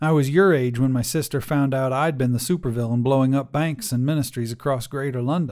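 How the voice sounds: The passage is read in a natural reading voice.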